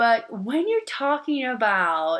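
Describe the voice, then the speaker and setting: A woman with a Portuguese accent, at a fairly slow pace. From Brazil. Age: 30s. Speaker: nursing student vlogger. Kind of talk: casual vlog monologue. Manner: hesitant, many fillers.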